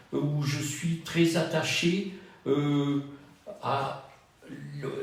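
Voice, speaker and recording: Amid noticeable background noise and audible room echo, a man speaks very slowly in a fairly high pitch with monotone, flat intonation. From southern France, Cannes. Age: 70s. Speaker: retired trainer and wellbeing practitioner. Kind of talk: dating profile interview. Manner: measured, with hesitations.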